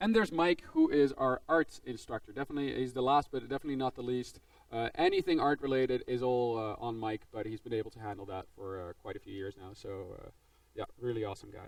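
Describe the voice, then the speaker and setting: He speaks very fast. The man has a Dutch accent. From Netherlands. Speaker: game design instructor. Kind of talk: presentation to students. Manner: casual, filler-heavy.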